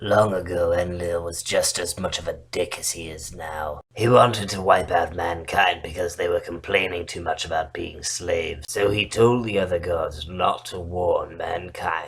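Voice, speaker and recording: A put-on character voice at a moderate pace, with big swings in loudness, hardly any pauses and light background noise. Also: man, very deep, low pitch for a man. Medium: read story. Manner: blunt, crude.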